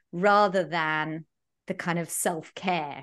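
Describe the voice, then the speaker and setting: A woman speaks in a southern English accent against a quiet background. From London. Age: 40s. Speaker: podcast host, business coach. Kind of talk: podcast interview.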